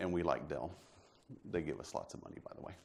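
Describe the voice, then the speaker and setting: A man's voice with audible room echo. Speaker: IT manager presenting case study. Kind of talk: conference presentation. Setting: stage with audience. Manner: fast.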